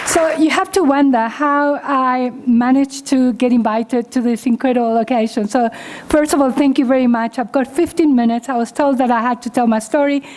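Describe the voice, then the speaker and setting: Over noticeable background noise, a woman with a non-native accent talks at a fairly quick pace in a high pitch, with fairly even intonation and hardly any pauses. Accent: foreign accent, noticeable. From Uruguay. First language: Spanish. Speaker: chartered accountant and professor. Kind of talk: keynote talk.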